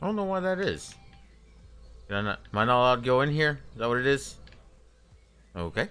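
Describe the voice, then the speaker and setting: Over music in the background, a man talks at a very fast pace with very wide pitch swings, broken by long, frequent pauses. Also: medium pitch for a man. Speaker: gaming streamer. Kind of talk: live gameplay commentary. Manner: casual, halting with repetitions.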